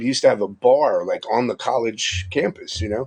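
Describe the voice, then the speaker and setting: With a New York accent, a man talks at a fairly quick pace, his pitch swinging very widely. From Long Island, New York. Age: 50s. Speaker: live streamer. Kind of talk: casual chat.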